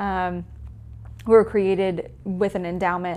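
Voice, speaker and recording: In a Southern US accent, the speaker talks at a fairly slow pace with monotone, flat intonation. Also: woman. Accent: Southern US (Georgia). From Georgia, US South (Newnan). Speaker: museum director. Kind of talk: casual interview.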